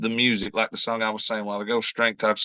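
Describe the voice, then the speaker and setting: A man with a strong Kentucky accent speaks in a bright, sharp tone, recorded dry and close with no echo. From Kentucky, US. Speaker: country singer-songwriter. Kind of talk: interview. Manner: halting, many fillers.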